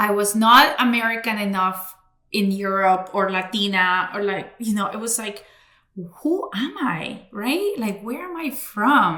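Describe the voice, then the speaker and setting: Speech comes at a fairly slow pace with ordinary pitch variation. The room echo is audible. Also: woman, medium pitch for a woman. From Cali, Colombia; raised in Florida, US. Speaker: podcast host and bilingual communications consultant. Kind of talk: interview conversation. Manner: casual, many fillers.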